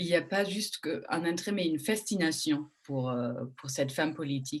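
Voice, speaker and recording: A woman with a German accent speaks at a moderate pace in a very deep, low pitch. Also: ordinary pitch variation. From Germany. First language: German (speaking French). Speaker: journalist moderating a panel. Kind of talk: panel moderation. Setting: online panel in front of a screen. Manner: hesitant, many fillers.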